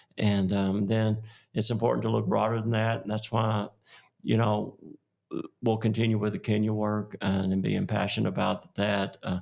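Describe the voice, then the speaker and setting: A man speaks with a fairly low pitch and monotone, flat intonation. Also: moderate pace. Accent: West Texas. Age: 60s. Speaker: oil and gas executive. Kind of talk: podcast interview. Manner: halting, many fillers.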